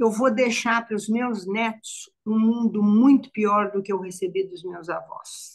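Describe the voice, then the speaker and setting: Speaking at a very slow pace with hardly any pauses, a woman's somewhat breathy voice sits fairly high and keeps a fairly even intonation. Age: 70s. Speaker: psychologist. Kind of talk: live panel discussion. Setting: online live stream. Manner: halting, repetitive.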